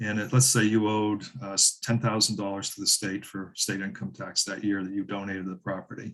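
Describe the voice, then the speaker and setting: With an unremarkable speaking voice and a fairly low pitch, a man talks at a fairly quick pace with hardly any pauses. His intonation is fairly even, and the background is quiet. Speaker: land conservation expert. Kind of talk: webinar presentation.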